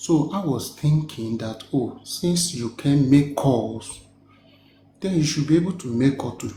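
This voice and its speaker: A man talks at a fairly slow pace in a medium pitch. His pitch variation is ordinary. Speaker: live stream participant. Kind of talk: heated debate.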